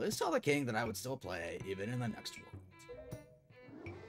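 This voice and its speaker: A man puts on a character voice at a medium pitch and a moderate pace. Clear music plays in the background. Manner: laid-back, surfer drawl.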